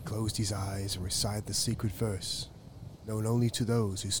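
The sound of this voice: The intonation is fairly even. Throughout, an unforced reading voice is heard.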